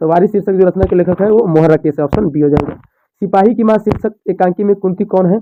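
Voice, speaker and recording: Ordinary pitch variation shapes a man's high-pitched speech. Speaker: teacher. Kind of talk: tutorial. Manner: fast.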